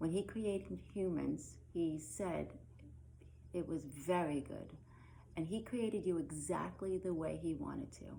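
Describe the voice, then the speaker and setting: A woman with a slight Brooklyn accent speaks at a fairly slow pace. Room echo is audible. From Brooklyn, New York. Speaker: religious education teacher. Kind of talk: recorded lesson. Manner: casual, with many filler ums.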